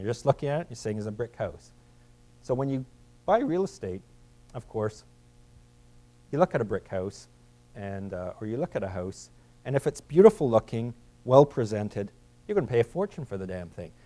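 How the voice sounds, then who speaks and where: Over music in the background, a man of medium pitch talks with lively intonation and big swings in loudness, pausing long and often. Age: 40s. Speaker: investment manager, guest speaker. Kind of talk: guest lecture. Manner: halting, many repeated words.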